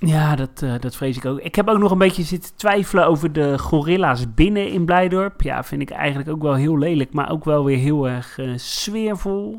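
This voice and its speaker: A man with a normal speaking voice talks at a moderate pace, his fairly high pitch moving with ordinary variation and hardly any pauses. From Netherlands, Rotterdam. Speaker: podcast co-host. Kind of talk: casual chat.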